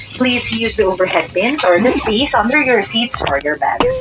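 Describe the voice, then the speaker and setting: A woman talks at a moderate pace. Music plays behind her. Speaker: cabin crew announcer. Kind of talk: scripted public announcement. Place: plane.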